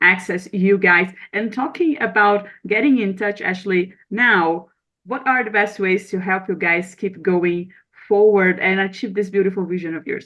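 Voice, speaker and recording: With a Brazilian accent, a woman speaks with ordinary pitch variation. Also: medium pitch for a woman, moderate pace. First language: Portuguese. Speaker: podcast host. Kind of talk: podcast outro; interview.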